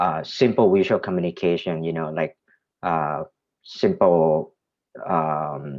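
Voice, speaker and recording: Pausing long and often, a man with a Thai accent speaks very slowly in a very deep, low voice with fairly even intonation. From Thailand. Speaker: art director. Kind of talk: presentation to students. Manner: halting, many fillers and repetitions.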